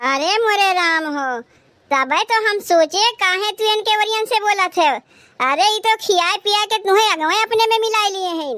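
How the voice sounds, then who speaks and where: This woman puts on a cartoonish character voice at an extremely high pitch. Her pace is moderate. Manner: sharp, scolding.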